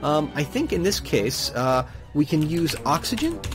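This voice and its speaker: A man's voice with music in the background. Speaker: gamer. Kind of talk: let's play commentary. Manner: casual, hesitant.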